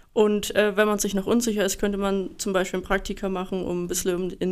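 A woman at a medium pitch, fairly quick in pace, with monotone, flat intonation. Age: 20s. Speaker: apprentice industrial mechanic. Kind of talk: interview.

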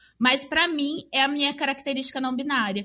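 This voice is raised and projected, with a bright, sharp tone. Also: woman, very clean recording, silent background. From Maringá, Paraná, Brazil. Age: 20s. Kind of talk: casual chat.

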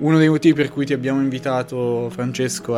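Against noticeable background noise, a man with a medium pitch talks at a fairly quick pace with fairly even intonation. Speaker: podcast host. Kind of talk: casual chat.

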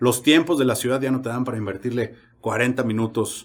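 A man talks at a fairly slow pace in an ordinary speaking voice, medium in pitch with ordinary pitch variation. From Mexico, San Luis Potosí. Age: 30s. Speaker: podcast host, motorcyclist. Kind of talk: casual chat.

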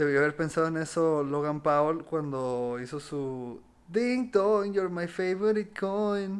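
A normal speaking voice carries lively intonation. It moves at a fairly slow pace with hardly any pauses. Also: man, fairly high pitch for a man. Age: 20s. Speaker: comedy podcast co-host. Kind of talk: casual chat.

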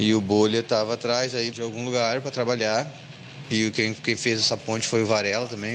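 Flat, monotone intonation comes through over noticeable background noise. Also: man. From Rio Grande do Sul, Brazil (Sapucaia do Sul). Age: 40s. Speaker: musician and cultural venue owner. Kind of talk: interview.

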